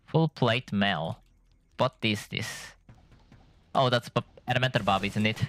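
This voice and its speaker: With music in the background and a dry, close sound with no echo, a man with a non-native accent speaks fairly slowly at medium pitch and ordinary pitch variation, pausing long and often. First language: not English. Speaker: gaming streamer. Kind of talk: gameplay commentary. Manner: halting.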